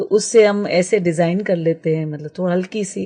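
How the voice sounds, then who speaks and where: A woman's dark, mellow voice with fairly even intonation. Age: 60s. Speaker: permaculture trainer. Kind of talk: radio interview. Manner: halting, many fillers.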